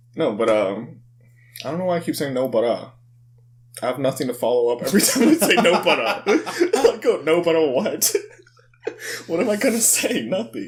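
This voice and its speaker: Mumbling at a moderate pace over noticeable background noise, a man with a high pitch makes very wide pitch swings and leaves long, frequent pauses. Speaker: podcast host. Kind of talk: casual chat.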